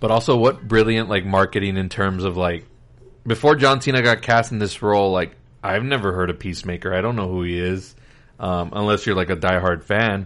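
Pitched fairly low, a man speaks at a fairly quick pace in an unremarkable speaking voice. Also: ordinary pitch variation. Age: 30s. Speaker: podcast host. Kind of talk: casual chat.

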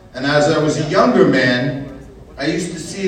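A man talks with an American accent. Noticeable background noise runs under his voice. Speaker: activist and friend of the artist. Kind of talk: speech at event.

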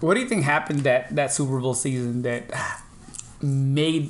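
An animated man with a Filipino accent, fairly high-pitched, at a moderate pace amid noticeable background noise. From Philippines. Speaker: podcast host. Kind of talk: casual chat. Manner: animated, laughs often.

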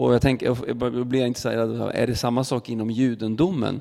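Speaking at a moderate pace, a man with a medium pitch and a dark, mellow tone keeps a fairly even intonation. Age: 30s. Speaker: church podcast host. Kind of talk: interview conversation. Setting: church.

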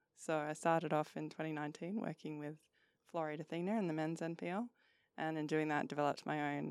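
A woman's very deep, low voice at a very fast pace, dry and close with no echo on a very clean recording with a silent background. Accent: Australian. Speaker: football analyst. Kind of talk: casual chat.

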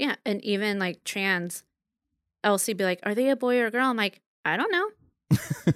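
With lively intonation, a woman has an unremarkable speaking voice in a dry, close sound with no echo. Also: medium pitch for a woman, moderate pace. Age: 30s. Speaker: podcast guest. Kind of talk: casual chat.

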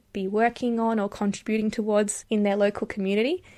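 The woman speaks in an Australian accent at a medium pitch. The recording is very clean, with a silent background. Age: 20s. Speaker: podcast host and public policy student. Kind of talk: scripted introduction monologue.

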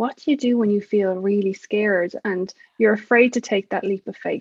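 The speaker has an Irish accent. The intonation stays fairly even. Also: woman. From Ireland. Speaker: success coach for mothers. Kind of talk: interview.

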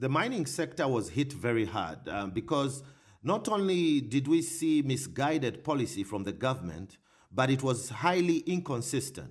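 Using vocal fry, a man of medium pitch speaks at a moderate pace with very wide pitch swings. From Zambia, Northern Province. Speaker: economist. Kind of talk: interview.

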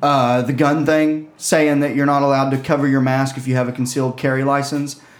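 Noticeable background noise sits behind a man with a fairly high voice. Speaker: podcast co-host and comedian. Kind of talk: casual chat.

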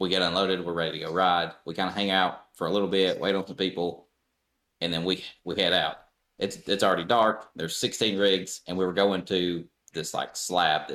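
This man's very deep, low voice has a bright, sharp tone and a monotone, flat intonation, delivered at a fairly quick pace. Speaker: trail club organizer. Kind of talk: casual chat.

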